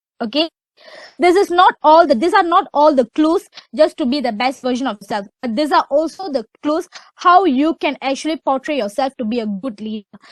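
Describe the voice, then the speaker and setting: Loud and high-pitched, a woman talks at a moderate pace with lively intonation, the sound dry and close with no echo. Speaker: webinar speaker. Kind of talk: webinar talk. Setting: online webinar.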